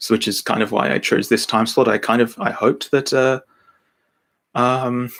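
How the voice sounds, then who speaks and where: A man talks at a moderate pace. His intonation stays fairly even, broken by long, frequent pauses. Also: medium pitch for a man. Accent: Australian. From Australia, Brisbane. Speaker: podcast creator and narrator. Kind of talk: live Q&A stream. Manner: halting, many restarts.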